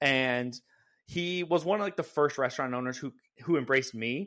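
On a very clean recording with a silent background, a man speaks in a plain, everyday voice at medium pitch with ordinary pitch variation. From California. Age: 30s. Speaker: content creator. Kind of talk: casual chat.

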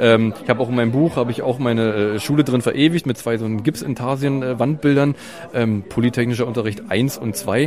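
A man talks with fairly even intonation while noticeable noise carries on behind him. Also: medium pitch for a man, fairly quick pace. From East Germany. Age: 30s. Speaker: architect and photographer. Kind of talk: interview. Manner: hesitant, repeats words.

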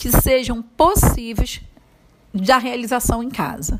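Noticeable background noise under a fairly high-pitched woman's voice. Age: 40s. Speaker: preschool teacher. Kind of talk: interview answers.

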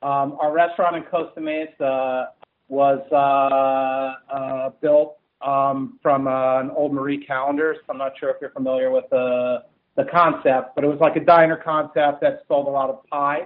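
A man with an American accent speaks at a moderate pace. His fairly high voice stays monotone and flat. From New Jersey, US (Central Jersey). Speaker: restaurant company CEO. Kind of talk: podcast interview. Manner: halting, many fillers and repeats.

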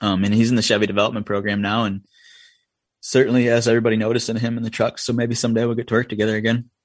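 Over a quiet background, a man with a Vermont accent talks very fast at a medium pitch, his intonation monotone and flat. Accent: Vermont rural. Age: 30s. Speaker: racing crew chief. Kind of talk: casual interview chat.

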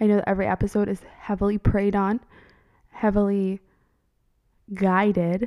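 A woman speaks at a medium pitch and moderate pace, in a dark, mellow, monotone delivery. Long, frequent pauses mark the dry, close sound, which has no echo. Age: 20s. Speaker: podcast host, nurse and mother. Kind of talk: solo podcast monologue. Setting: home office.

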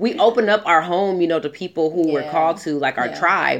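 With an American accent and lively intonation, a woman speaks over noticeable background noise. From Southern California. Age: 30s. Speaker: podcast co-host. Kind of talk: casual chat. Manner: animated.

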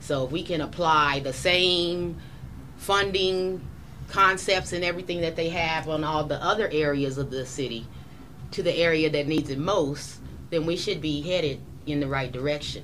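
Amid noticeable background noise and audible room echo, a woman speaks in a very deep, low voice. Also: ordinary pitch variation, moderate pace. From Colorado Springs. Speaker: housing expert. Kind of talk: town hall panel discussion.

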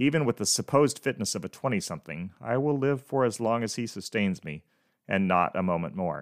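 In a very clean recording with a silent background and a dry, close sound with no echo, a man with a fairly low pitch talks at a fairly quick pace, his pitch swinging very widely. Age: 50s. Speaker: podcast host. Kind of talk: devotional monologue.

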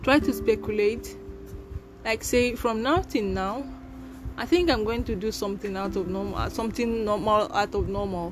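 Music sits in the background. Over it, a woman talks at a moderate speed. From Nigeria, Imo State (Igbo). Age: 20s. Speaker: podcaster. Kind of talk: personal monologue.

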